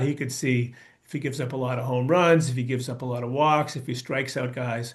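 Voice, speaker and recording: A man uses a normal speaking voice at a medium pitch. He moves at a fairly quick pace with fairly even intonation. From US Northeast (Brookline, Massachusetts). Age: 60s. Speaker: baseball coach. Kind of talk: presentation talk.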